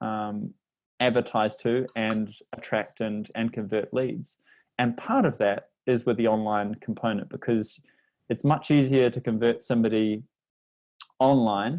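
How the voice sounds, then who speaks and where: With a New Zealand accent, a man speaks at medium pitch and a moderate pace, his intonation fairly even and his pauses long and frequent. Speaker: language learning company representative. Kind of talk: podcast interview.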